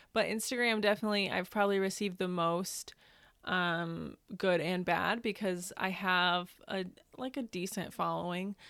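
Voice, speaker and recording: A woman's unremarkable speaking voice, medium in pitch with fairly even intonation and an American accent, on a very clean recording with a silent background. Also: moderate pace. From US Midwest, Northern Indiana. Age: 20s. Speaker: law student and adoption advocate. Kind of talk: interview.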